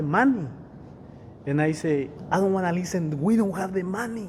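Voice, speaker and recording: A man talks fairly quickly with ordinary pitch variation, accompanied by noticeable background noise and audible room echo. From Mexico. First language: Spanish. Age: 40s. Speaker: real estate investor. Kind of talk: interview.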